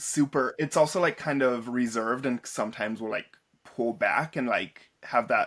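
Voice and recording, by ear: Reading aloud in a natural voice with lively intonation, the speaker is heard against a quiet background.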